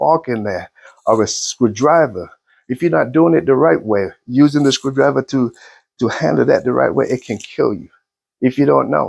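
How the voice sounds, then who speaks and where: Heard with a dry, close sound with no echo, a man has a plain, everyday voice at a medium pitch. He speaks at a moderate pace with lively intonation. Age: 60s. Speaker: motivational vlogger. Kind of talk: motivational monologue.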